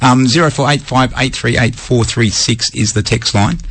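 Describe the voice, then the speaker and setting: A man's voice amid noticeable background noise. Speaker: radio host. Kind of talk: casual chat. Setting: radio studio.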